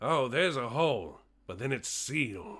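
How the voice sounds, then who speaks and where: A man's raspy, put-on character voice. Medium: actual play. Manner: grumbling, cranky.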